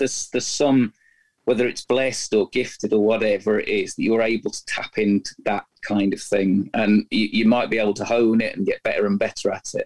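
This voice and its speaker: Heard in a dry, close sound with no echo, a man speaks at a very fast pace. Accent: Scottish. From Scotland. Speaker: music journalist and biographer. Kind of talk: interview.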